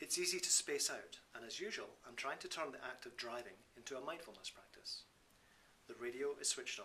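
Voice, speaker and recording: Speaking in a Scottish accent, a man keeps a moderate pace. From Scotland. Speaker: Buddhist teacher and author. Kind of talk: reading from his own book.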